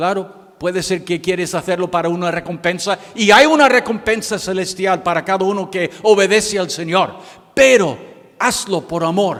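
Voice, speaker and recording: Speaking with an American accent, a man uses a high pitch with ordinary pitch variation at a moderate pace. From United States. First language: English (speaking Spanish). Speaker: missionary pastor. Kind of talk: sermon. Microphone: microphone problems.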